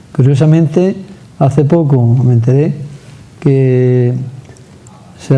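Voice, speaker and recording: Amid audible room echo and noticeable background noise, a man talks at a fairly high pitch with fairly even intonation. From Andalusia. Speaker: TV interviewer. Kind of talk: interview.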